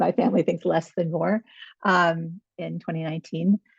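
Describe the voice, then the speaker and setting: A woman with a plain, everyday voice and an American accent, fairly low in pitch, at a moderate pace against a quiet background. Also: dry, close sound with no echo. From New York. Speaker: nurse practitioner and researcher. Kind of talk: webinar presentation.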